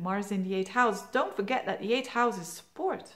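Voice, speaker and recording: Her intonation lively, a woman talks with a non-native accent. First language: Dutch (Flemish). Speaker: astrologer. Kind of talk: monthly horoscope forecast talk. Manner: casual, hesitant with fillers.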